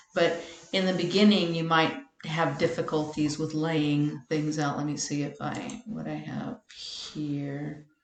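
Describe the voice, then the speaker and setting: Audible room echo surrounds a woman whose pitch is very deep and low, with ordinary variation, as she talks at a fairly slow pace. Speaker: web tutorial maker. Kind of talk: tutorial.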